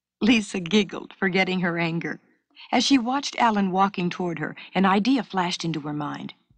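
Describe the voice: The voice is plain reading aloud. Its pitch shifts in an ordinary way.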